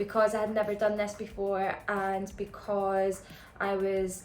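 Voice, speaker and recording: A woman in a Scottish accent talks with a fairly high pitch and a monotone, flat intonation. Noticeable background noise and audible room echo surround her voice. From Scotland. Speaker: business founder and vlogger. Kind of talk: casual chat. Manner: chatty, filler-heavy.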